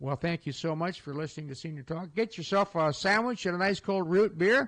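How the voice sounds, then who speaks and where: A man with a Midwestern American accent talks in a high pitch. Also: ordinary pitch variation. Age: 70s. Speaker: radio host. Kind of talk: casual radio talk. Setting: studio. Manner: halting.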